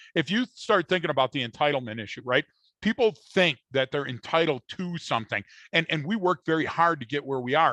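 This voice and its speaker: Close and dry with no echo over a quiet background, a man speaks at a fairly quick pace with a fairly high pitch, a bright, sharp tone and lively intonation. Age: 60s. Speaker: human behavior podcast co-host. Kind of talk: casual chat. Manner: animated.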